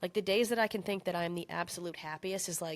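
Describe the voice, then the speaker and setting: At a medium pitch and fairly quick pace, a woman speaks with fairly even intonation. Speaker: business coach / entrepreneur YouTuber. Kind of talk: casual monologue to camera. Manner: fast; casual, filler-heavy.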